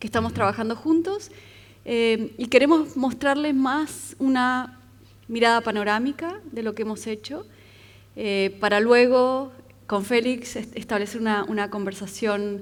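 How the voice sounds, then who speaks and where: Fairly slow and fairly high, a woman's voice moves with ordinary pitch variation on a very clean recording with a silent background. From Argentina. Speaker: architect. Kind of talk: lecture.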